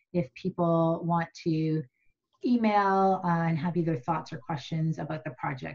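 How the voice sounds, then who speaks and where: A woman speaks in a fairly low, somewhat breathy voice with ordinary pitch variation. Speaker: meeting facilitator presenting slides. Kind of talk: meeting presentation. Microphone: video call.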